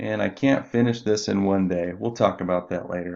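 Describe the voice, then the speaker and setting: A man with an unremarkable speaking voice, fairly low in pitch. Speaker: instructional designer or university staff. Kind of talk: screen-recorded tutorial.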